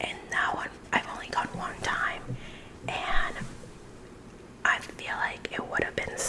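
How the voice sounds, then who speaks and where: Over noticeable background noise, the woman whispers very slowly. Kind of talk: ASMR casual chat while coloring. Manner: whispered.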